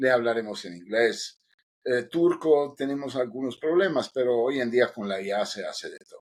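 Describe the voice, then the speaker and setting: A man with an Italian accent speaks at a fairly slow pace. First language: Italian (speaking Spanish). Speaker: podcast co-host, engineering lead. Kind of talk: casual podcast chat.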